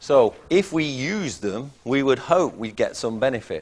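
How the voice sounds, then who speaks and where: At a moderate pace, a man with a Mancunian accent talks with lively intonation. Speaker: chemistry lecturer. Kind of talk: lecture.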